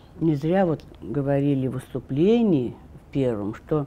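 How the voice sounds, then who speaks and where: Dark, mellow female tone swinging very widely in pitch. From Russia, Orenburg. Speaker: daughter of Gulag prisoners. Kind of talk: oral history interview answer. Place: studio. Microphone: lapel.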